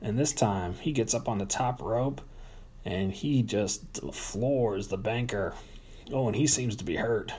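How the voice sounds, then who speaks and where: A man's medium-pitched, dark, mellow and somewhat breathy voice at a moderate pace. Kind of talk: live wrestling commentary, play-by-play of a staged match with ring announcements. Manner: announcer-style showmanship, hyping storylines and rivalries.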